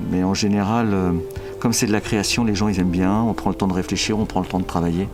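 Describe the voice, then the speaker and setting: Over music in the background, a man talks at a very fast pace with a fairly low pitch, fairly even intonation and very even loudness. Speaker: voice director. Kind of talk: interview answer.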